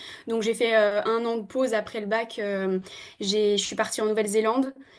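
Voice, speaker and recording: Speaking at a moderate pace, a woman with a fairly high pitch keeps a monotone, flat intonation. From New Caledonia. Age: 20s. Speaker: veterinary student. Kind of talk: podcast interview. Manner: hesitant, many fillers.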